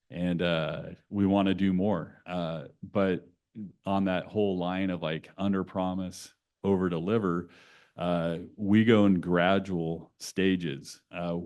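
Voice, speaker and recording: Speaking with a West Coast accent, a man uses a very deep, low pitch and fairly even intonation at a very slow pace over a quiet background. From California (Santa Cruz). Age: 50s. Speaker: nonprofit executive. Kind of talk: conversational talk to an audience.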